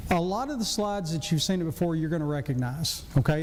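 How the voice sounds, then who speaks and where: A man talks very fast in a Southern US accent. His fairly high voice carries audible room echo. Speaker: physician and church deacon. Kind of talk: church class lecture.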